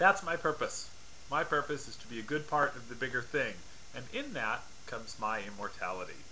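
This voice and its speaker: A man's fairly high voice, fairly quick and full of lively intonation, with big swings in loudness and noticeable background noise. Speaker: stand-up comedian. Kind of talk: comedic talk to camera about atheism. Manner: casual, rambling with filler words.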